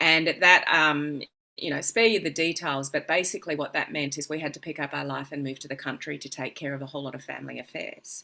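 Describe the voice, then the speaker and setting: With an Australian accent, the speaker talks at a fairly quick pace in a bright, sharp tone with vocal fry and fairly even intonation. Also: woman. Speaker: business coach. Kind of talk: interview.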